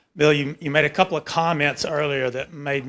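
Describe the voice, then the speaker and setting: In a Southern US accent, a man speaks at a fairly quick pace. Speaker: academic. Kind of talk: audience question.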